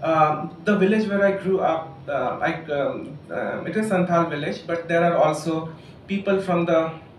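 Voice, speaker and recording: With noticeable background noise and audible room echo, a man speaks fairly slowly in a high voice. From India, Jharkhand (Ghatshila). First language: Santhali. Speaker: writer and doctor. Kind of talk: public talk. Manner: halting, many fillers.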